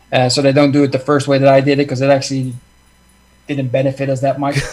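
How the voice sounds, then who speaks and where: With a Dutch accent, a man speaks in a monotone, flat intonation at a fairly high pitch. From Netherlands. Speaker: success coach. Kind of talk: casual chat. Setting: video call.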